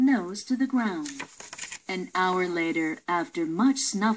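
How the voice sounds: Lively intonation in a natural reading voice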